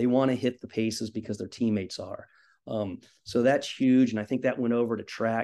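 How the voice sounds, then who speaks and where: With a Midwestern American accent, a man of medium pitch talks at a fairly quick pace in a dark, mellow tone with monotone, flat intonation against a quiet background. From Indiana. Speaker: high school cross country coach. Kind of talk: casual interview.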